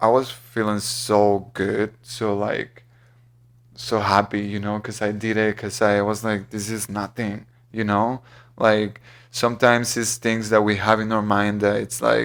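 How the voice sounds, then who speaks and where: Speaking fairly slowly, a man with a fairly low pitch keeps a monotone, flat intonation. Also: very clean recording, silent background. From Mexico. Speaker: musician. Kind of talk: interview.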